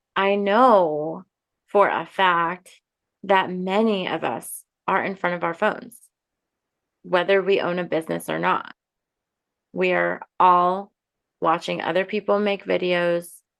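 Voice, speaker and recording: A woman's calm, medium-pitched voice with fairly even intonation, long and frequent pauses, and a quiet background. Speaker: podcast host and coach. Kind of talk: casual talk before a guided meditation.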